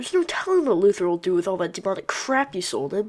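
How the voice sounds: A female-sounding cartoonish character voice at medium pitch rattles along at a very fast pace.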